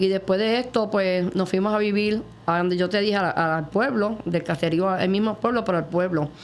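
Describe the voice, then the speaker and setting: A woman with an unremarkable speaking voice talks at a moderate pace in a medium pitch, her intonation fairly even and her loudness very even. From Puerto Rico, Morovis. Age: 60s. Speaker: testimony guest. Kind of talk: testimony interview.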